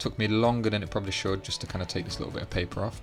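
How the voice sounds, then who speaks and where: Music plays in the background as a man speaks. His pitch is fairly low and his intonation fairly even. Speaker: tech YouTuber. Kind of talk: casual talk to camera.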